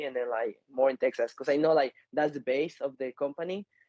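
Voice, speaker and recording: A man's fairly high-pitched voice with a Mexican accent. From Mexico City. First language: Spanish. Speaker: MMA fighter. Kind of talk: interview. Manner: halting.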